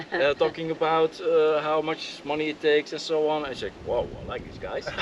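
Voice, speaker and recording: Speaking with a Flemish accent, a man with a fairly high voice keeps a monotone, flat intonation, his loudness swinging widely over noticeable background noise. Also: moderate pace. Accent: Belgian Dutch (Flemish) accent in English. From Belgium. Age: 50s. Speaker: land surveyor and drafter. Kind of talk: casual interview. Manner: hesitant, many fillers.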